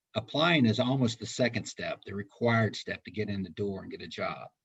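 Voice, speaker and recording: Fairly quick speech from a man, medium in pitch, with ordinary rise and fall. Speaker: recruiter. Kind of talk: webinar presentation. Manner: fast.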